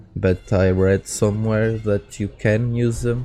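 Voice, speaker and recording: A man with a Portuguese accent talks very slowly in a tired tone and fairly even intonation while music plays in the background. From Portugal. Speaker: architect and firefighter. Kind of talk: casual video game review to camera. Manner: slow, tired-sounding.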